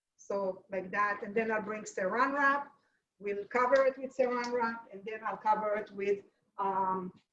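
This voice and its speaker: A woman with an Israeli accent speaks at a fairly slow pace with a fairly high pitch, fairly even intonation and big swings in loudness. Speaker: home cook teaching a recipe. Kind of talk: cooking demonstration; casual chat. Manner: halting.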